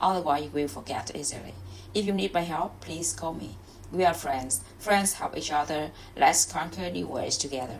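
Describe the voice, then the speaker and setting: A woman with a Vietnamese accent talks at a moderate pace. Her very deep, low pitch makes very wide swings. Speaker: English learner. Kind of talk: reading aloud; casual chat. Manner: halting.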